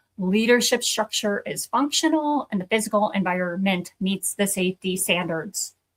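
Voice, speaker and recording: Speech comes at a fairly slow pace. It sounds somewhat breathy. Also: woman, dry, close sound with no echo. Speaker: accreditation consultant for addiction treatment programs. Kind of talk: educational talk.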